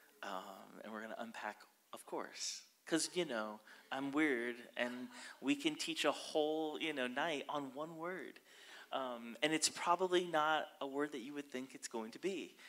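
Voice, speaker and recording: The man's pace is moderate and his pitch varies in an ordinary way. There are big swings in his loudness. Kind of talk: sermon. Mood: warm, upbeat. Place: church. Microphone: handheld.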